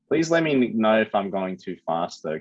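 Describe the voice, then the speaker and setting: Speaking at a moderate pace in an Australian accent, a man has a fairly low pitch with very wide pitch swings. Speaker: high school maths teacher. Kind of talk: online class lesson. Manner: casual.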